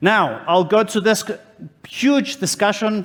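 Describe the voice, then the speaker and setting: A loud voice speaks in a Greek accent. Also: man. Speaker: conference speaker, HR consultant. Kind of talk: conference talk.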